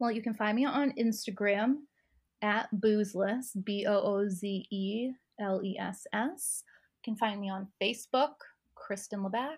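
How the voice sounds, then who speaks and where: Recorded very cleanly against a silent background, a woman speaks in a somewhat breathy voice with ordinary pitch variation. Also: fairly high pitch for a woman, moderate pace. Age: 30s. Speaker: sober lifestyle coach. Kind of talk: casual interview.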